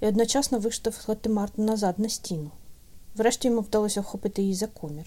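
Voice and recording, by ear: A natural voice reading aloud, intonation fairly even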